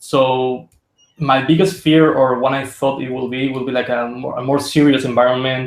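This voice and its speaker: A man talks with a Spanish accent. His intonation stays fairly even. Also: medium pitch for a man, moderate pace. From Spain. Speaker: concept artist. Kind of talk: interview. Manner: halting.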